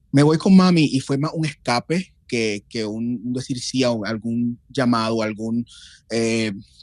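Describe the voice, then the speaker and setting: A man's medium-pitched voice, with ordinary pitch variation, unfolds at a fairly slow pace. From Puerto Rico (Loíza). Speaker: guest on a podcast. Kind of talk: casual chat. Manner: halting, repeats words.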